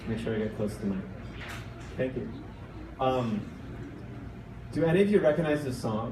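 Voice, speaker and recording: A man's lively intonation broken by long, frequent pauses, with noticeable background noise behind him. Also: medium pitch for a man, moderate pace. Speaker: storyteller. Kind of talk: live storytelling performance. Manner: casual, conversational.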